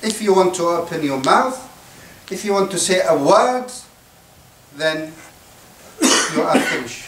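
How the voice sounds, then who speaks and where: Noticeable background noise sits behind a man with an Arabic accent. His high voice makes very wide pitch swings at a moderate pace. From Syria. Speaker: imam. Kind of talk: religious talk to students.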